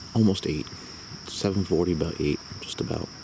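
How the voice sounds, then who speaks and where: A man speaks quietly with fairly even intonation. Background noise is noticeable. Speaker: camping vlogger. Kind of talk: casual vlog narration. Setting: outdoors at campsite.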